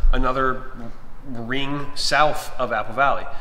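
Over light background noise and audible room echo, a man with an American accent speaks at a very slow pace. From Minnesota, Twin Cities suburbs. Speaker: real estate agent. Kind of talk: live stream chat. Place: home room. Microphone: webcam.

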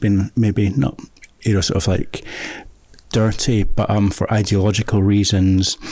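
A man with a Scottish accent speaks fairly slowly in a fairly low, dark, mellow voice. The sound is dry with no echo, against a quiet background. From Scotland, Fife; Scotland. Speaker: filmmaker and author; guest. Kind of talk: casual chat. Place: studio. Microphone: studio mic.

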